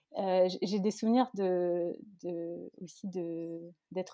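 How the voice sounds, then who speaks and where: Against a quiet background, a woman with a dark, mellow tone speaks at a medium pitch with fairly even intonation, the sound dry and close with no echo. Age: 30s. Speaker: podcast creator. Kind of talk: interview.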